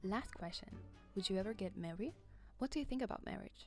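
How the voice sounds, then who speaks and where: A woman's quiet, breathy voice, with music in the background. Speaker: video essay host. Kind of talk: casual video essay narration.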